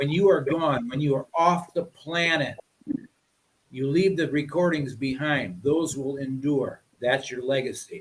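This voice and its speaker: A man's fairly high voice at a fairly slow pace, with ordinary pitch variation. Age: 60s. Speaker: musician. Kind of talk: casual chat. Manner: animated.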